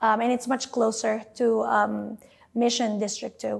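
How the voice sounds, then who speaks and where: Recorded very cleanly with a silent background, a woman speaks with a fairly high pitch and fairly even intonation. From Philippines, Metro Manila (Quezon City). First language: Filipino (Tagalog). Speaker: school nurse. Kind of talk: interview. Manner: hesitant, many fillers.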